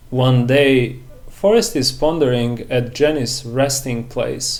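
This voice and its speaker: Over noticeable background noise and audible room echo, a man with a medium pitch talks at a very slow pace with ordinary pitch variation. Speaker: movie review youtuber. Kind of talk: scripted narration; personal reflection to camera.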